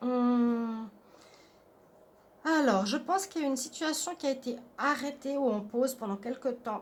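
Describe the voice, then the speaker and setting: A soft-spoken woman's high voice, fairly slow, with long, frequent pauses and ordinary pitch variation. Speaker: tarot card reader. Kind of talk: tarot reading.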